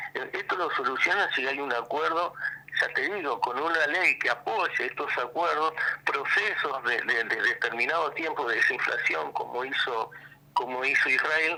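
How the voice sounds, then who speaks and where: Noticeable background noise runs through the clip. A man talks over it at a moderate pace. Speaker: economist. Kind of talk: radio interview. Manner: halting.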